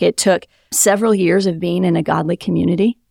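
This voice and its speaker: A woman with an American accent speaks at medium pitch and a moderate pace, with vocal fry and fairly even intonation. The sound is dry and close with no echo, a very clean recording with a silent background. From Wisconsin. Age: 30s. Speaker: pastor. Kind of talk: testimony.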